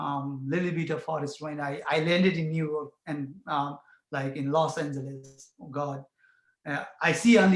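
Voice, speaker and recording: A man speaks with fairly even intonation at a fairly high pitch. His voice is somewhat breathy. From Bhutan. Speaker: community farmer and refugee advocate. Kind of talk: personal testimony at a panel forum. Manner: halting, with many fillers.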